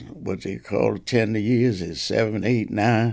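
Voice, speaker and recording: A man's fairly low voice with vocal fry, lively intonation and an American accent, on a very clean recording with a silent background. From New Jersey, Asbury Park. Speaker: retired police officer and pastor. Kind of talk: interview storytelling. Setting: in his home. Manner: halting.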